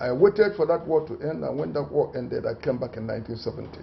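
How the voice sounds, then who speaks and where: Talking at a very fast pace, a man shows lively intonation and vocal fry. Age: 70s. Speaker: lawyer and traditional titleholder. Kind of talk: press briefing. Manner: formal.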